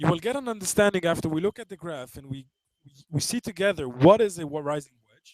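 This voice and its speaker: A high-pitched man talks at a very fast pace with lively intonation and big swings in loudness. The sound is dry and close, with no echo. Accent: non-native. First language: not English. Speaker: trading webinar presenter. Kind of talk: webinar lecture. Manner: halting, many fillers and restarts.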